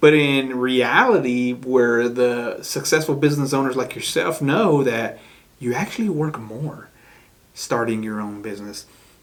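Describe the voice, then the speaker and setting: A man talks fairly slowly, with audible room echo and noticeable background noise in the recording. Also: medium pitch for a man, ordinary pitch variation. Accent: American. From Chicago. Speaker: podcast host, real estate agent. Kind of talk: casual interview chat.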